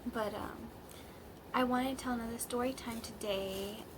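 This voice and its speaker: A woman speaks at a fairly high pitch with fairly even intonation. Audible room echo and noticeable background noise are present. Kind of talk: casual storytime vlog. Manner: halting, many fillers.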